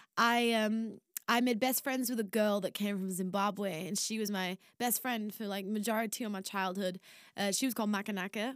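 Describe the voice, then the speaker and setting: Speaking in a Yorkshire accent, a woman uses a medium pitch, fairly even intonation and a moderate pace. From northern England, Barnsley, South Yorkshire. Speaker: singer. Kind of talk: casual storytelling.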